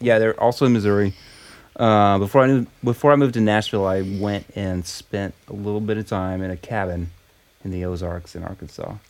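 This man has an ordinary speaking voice, fairly low in pitch, with an American accent. He talks at a fairly quick pace with fairly even intonation. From Oklahoma. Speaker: singer-songwriter. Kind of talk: casual chat. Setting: studio.

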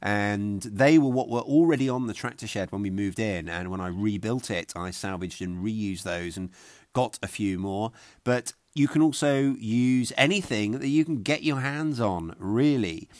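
A man speaks with a southern English accent in a fairly low voice, with lively intonation. His pace is moderate, on a very clean recording with a silent background. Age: 40s. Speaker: podcast host, homesteader. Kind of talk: tutorial.

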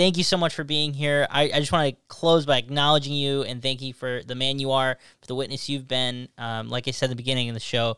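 In a very clean recording with a silent background, a man with an upstate New York accent talks at a very fast pace with hardly any pauses, using a bright, sharp tone, medium pitch and fairly even intonation. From upstate New York, Syracuse area. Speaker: youth minister and podcast host. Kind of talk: casual interview.

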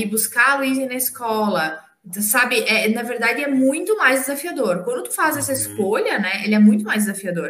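A woman speaks at a moderate pace in an unremarkable speaking voice with fairly high pitch. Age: 40s. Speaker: parent. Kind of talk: casual interview.

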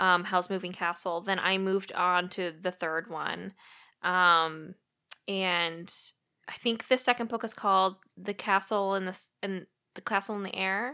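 Speaking at a fairly slow pace with an American accent, a woman has a bright, sharp tone, a medium pitch and fairly even intonation, on a very clean recording with a silent background. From Missouri, US Midwest. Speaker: life coach. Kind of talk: casual chat.

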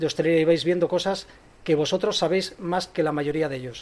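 Very fast speech with fairly even intonation. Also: man. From Spain, Bilbao. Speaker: coffee company representative. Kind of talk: speech to an audience. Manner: unscripted, hesitant.

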